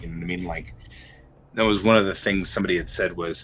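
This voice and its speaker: Over music in the background, a man with an American accent talks at a fairly quick pace in a very deep, low voice with fairly even intonation. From Colorado, US. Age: 50s. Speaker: art livestreamer. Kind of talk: casual chat while painting live. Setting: livestream. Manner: hesitant, filler-heavy.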